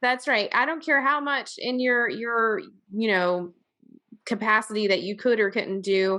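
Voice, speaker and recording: A woman's fairly high, bright, sharp voice with a slight Southern US accent, lively intonation, and a fairly slow pace, over a quiet background. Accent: slightly Southern. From Virginia. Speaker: podcast host. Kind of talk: podcast interview.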